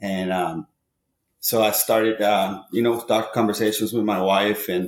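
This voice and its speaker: Delivered at a moderate pace with a Spanish accent, the speech is monotone and flat, on a very clean recording with a silent background. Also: man. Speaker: baseball hitting coach. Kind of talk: podcast interview. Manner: hesitant, many fillers.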